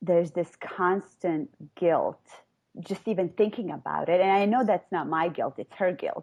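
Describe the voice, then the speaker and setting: Her voice sits at a medium pitch, and the woman speaks with a non-native accent. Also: ordinary pitch variation, moderate pace. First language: not English. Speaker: caller. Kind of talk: personal conversation about childhood. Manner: halting.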